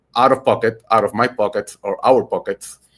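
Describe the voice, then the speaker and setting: At a fairly slow pace and medium pitch, a man speaks with a Puerto Rican accent in a very clean recording with a silent background. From Puerto Rico. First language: Spanish. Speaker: podcast host and political candidate. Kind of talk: political podcast talk. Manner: halting, many fillers and repetitions.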